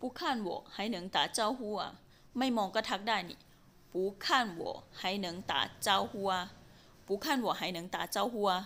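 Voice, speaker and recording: At a fairly slow pace, a woman talks in a plain, everyday voice at a medium pitch with ordinary pitch variation. The recording is very clean, with a silent background. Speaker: language teacher. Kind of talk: language lesson drill. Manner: slow, deliberate repetition.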